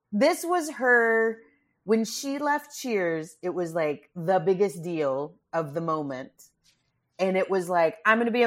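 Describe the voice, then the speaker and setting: In an American accent, a woman speaks at a medium pitch and a fairly slow pace. Her pitch swings very widely. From Texas, Grand Prairie near Dallas. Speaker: comedian. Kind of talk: casual chat.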